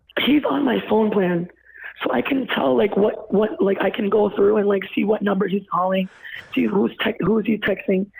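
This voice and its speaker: Over noticeable background noise, a woman speaks at a medium pitch and a moderate pace. Her intonation is lively, and her loudness is very even. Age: 20s. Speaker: caller. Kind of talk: casual chat. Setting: phone call. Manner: animated.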